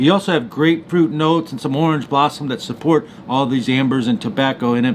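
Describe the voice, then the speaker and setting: This man talks very fast at a fairly high pitch with ordinary pitch variation. Noticeable background noise runs behind him. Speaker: fragrance reviewer. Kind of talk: product review. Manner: animated.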